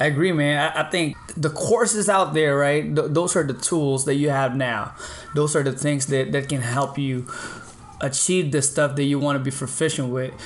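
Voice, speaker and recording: Against noticeable background noise, a man with a Filipino accent and a fairly high pitch speaks at a moderate pace with ordinary pitch variation. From Philippines. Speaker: podcast host. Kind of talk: casual chat. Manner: animated, laughs often.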